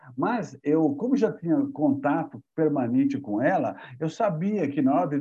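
A man's fairly high voice with lively intonation, a plain, everyday voice. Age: 60s. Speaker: company co-founder, building management. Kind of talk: interview.

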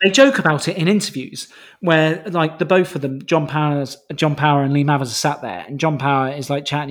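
On a very clean recording with a silent background, a man with an ordinary speaking voice talks fairly quickly at a fairly high pitch, with ordinary pitch variation. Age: 30s. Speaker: music podcast co-host. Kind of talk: casual chat.

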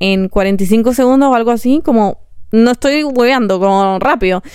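A woman speaks in an animated tone. Her pitch is fairly high. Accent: Chilean. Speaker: podcaster. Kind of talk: casual monologue.

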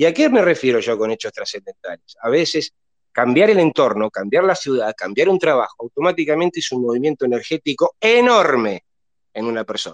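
Fairly high in pitch and fairly quick, a man speaks with very wide pitch swings in a dry, close sound with no echo. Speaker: football fan panelist, astrology commentator. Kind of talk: casual chat. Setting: live online audio room, from bed at home.

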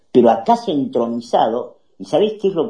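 This man's dark, mellow tone moves through very wide pitch swings. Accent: Rioplatense. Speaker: political talk show host. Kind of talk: political commentary. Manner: animated.

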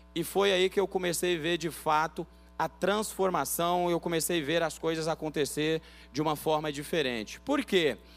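Music plays behind a man speaking at a moderate pace in a high pitch. His loudness stays very even, and his pitch varies ordinarily. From Bahia, Brazil, raised in São Paulo. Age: 30s. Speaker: pastor. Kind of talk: sermon.

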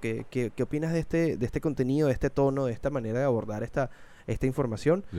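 Very fast male speech at medium pitch, dark and mellow in tone, with ordinary pitch variation. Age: 30s. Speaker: podcast host and voice actor. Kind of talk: casual chat. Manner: everyday conversational tone.

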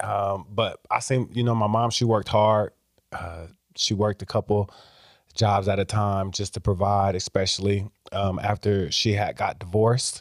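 At a moderate pace and with monotone, flat intonation, the speaker talks in an American accent on a very clean recording with a silent background. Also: man, fairly low pitch for a man, dry, close sound with no echo. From Iowa, Waterloo. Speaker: after-school program director. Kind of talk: casual chat.

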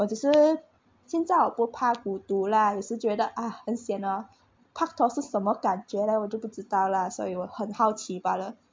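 A somewhat breathy woman's voice, fairly high, with ordinary pitch variation. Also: moderate pace. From Malaysia. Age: 20s. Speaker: podcast co-host, university student. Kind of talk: casual chat.

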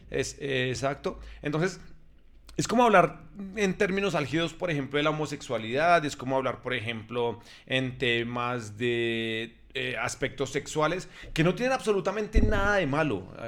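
A man speaks in an ordinary speaking voice at a fairly high pitch. His pace is moderate and his intonation lively. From Colombia. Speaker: podcast host. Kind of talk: casual chat.

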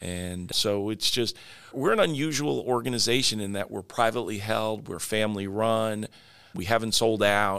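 A man speaks in a plain, everyday voice at a moderate pace. His pitch is fairly low, with ordinary variation. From Long Island, New York. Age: 60s. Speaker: franchise company CEO. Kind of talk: interview.

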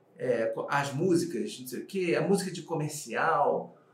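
Audible room echo and noticeable background noise surround a man speaking at a high pitch. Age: 40s. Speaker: actor and screenwriting teacher. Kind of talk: casual interview chat.

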